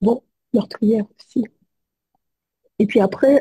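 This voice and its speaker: A somewhat breathy, dark and mellow woman's voice at a fairly high pitch and a very slow pace, dry and close with no echo. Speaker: psychologist. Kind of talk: testimony. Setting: video call. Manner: halting.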